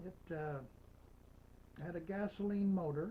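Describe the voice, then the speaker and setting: A man speaks at a high pitch. His tone is dark and mellow. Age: old. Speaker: storytelling grandfather. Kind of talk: personal history storytelling. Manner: slow, folksy, hesitant.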